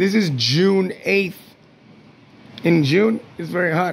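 With ordinary pitch variation, a man delivers his lines. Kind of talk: agitated personal rant to camera. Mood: angry, frustrated, upset. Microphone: phone near.

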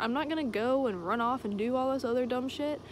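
A high-pitched woman at a moderate pace, in a dry sound with no echo, against noticeable background noise. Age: 20s. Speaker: vlogger. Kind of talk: casual monologue. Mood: earnest, reflective, at times heated. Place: open country. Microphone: phone near.

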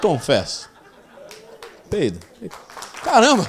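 The speaker is a man. His tone is animated. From Cuiabá, Brazil. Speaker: stand-up comedian. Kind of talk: stand-up comedy. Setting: stage with audience. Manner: animated, raunchy, punchy delivery; acts out characters with exaggerated voices. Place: stage. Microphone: handheld.

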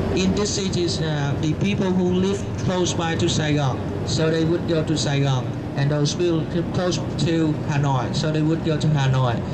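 Loud background noise sits under a man's voice. He speaks at a moderate pace with ordinary pitch variation. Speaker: tour guide. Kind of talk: tour guide commentary. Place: bus. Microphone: camera far.

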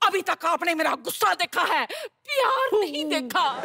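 With a raised, projected voice and very wide pitch swings, a woman talks at a very slow pace. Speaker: comedic actress in sketch. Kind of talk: comic theatrical dialogue. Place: stage. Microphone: headset.

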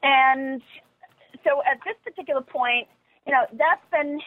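A woman with an American accent speaks in a high pitch. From New York, Long Island. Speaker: environmental advocate and radio producer. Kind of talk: interview.

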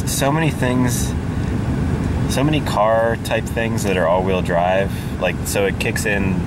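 Fairly slow speech with a dry sound and no echo over loud background noise. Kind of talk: casual vlog chat. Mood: relaxed, enthusiastic. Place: car. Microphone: phone near.

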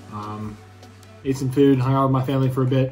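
With faint background music, a man speaks at a fairly quick pace. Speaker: fitness vlogger. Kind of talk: casual vlog chat. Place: home room. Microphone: phone near.

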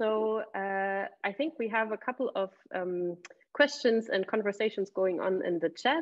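A woman with a German accent at a fairly slow pace. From Germany. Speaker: university admissions coordinator. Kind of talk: moderated panel discussion. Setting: video call.

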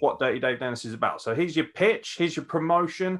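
Over a quiet background, a man with a British accent speaks with lively intonation. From England. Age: 30s. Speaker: podcast host and wrestler; podcast host. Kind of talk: podcast interview. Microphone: video call.

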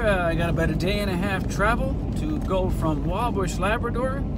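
Loud background noise surrounds a man talking at a fairly quick pace. His sound is dry, with no echo. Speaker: outdoors channel host. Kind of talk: casual vlog chat. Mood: upbeat, anticipating. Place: car. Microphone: phone near.

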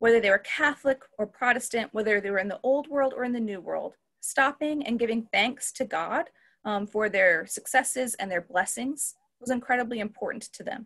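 Against a quiet background, a woman with a fairly high pitch talks at a fairly quick pace with ordinary pitch variation. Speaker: history professor and moderator. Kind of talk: panel moderation. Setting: video call. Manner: animated. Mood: warm, enthusiastic. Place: home room. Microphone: webcam.

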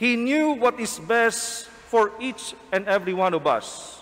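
A man speaks with lively intonation. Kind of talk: homily at a Mass. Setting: chapel Mass with a congregation. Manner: calm, earnest, formal preaching that switches between English and Bikol; warm, conversational, with rhetorical questions to the congregation. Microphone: podium.

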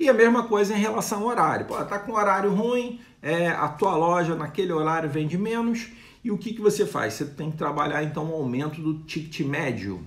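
Fairly quick and high-pitched, a man talks with lively intonation. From Brazil. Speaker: retail consultant, video creator. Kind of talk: tutorial-style business advice; around 2:25 he mimics a supermarket loudspeaker announcer. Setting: video channel, direct to camera. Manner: animated, pitchman-like, punchy, brisk sales-patter delivery when doing the announcer bit; informal, explanatory, with hesitations and repeated words. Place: home room. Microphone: phone near.

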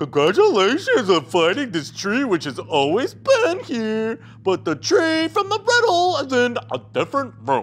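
A put-on character voice at a moderate pace with hardly any pauses. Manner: put-on imitation of a friend.

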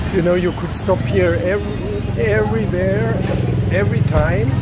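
Loud background noise fills the clip. The sound itself is dry, with no echo. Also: man. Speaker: travel vlogger. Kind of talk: casual vlog chat. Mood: cheerful, enthusiastic. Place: street. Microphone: phone near.

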